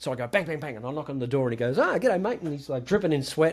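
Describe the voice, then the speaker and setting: Lively intonation marks a man's fairly high voice in an Australian accent. The recording is very clean, with a silent background. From Australia, rural Victoria. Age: 60s. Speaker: guitarist. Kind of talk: podcast interview.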